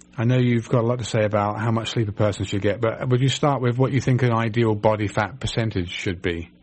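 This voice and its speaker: Speaking very fast with an English accent, a man sounds somewhat breathy at a medium pitch. His loudness stays very even, and his intonation fairly even. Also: hardly any pauses. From England. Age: 50s. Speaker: radio host, naturopathic doctor. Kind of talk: radio call-in show.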